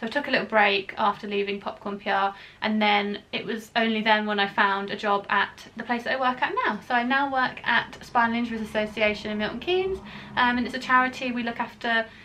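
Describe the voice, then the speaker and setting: A woman's fairly high voice at a fairly quick pace, with ordinary pitch variation and noticeable background noise. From England, Northamptonshire. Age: 20s. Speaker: travel vlogger. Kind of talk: casual Q&A vlog. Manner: casual with frequent fillers.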